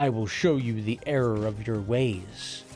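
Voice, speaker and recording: A man puts on a character voice at a moderate pace and medium pitch, with clear background noise behind him. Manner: menacing.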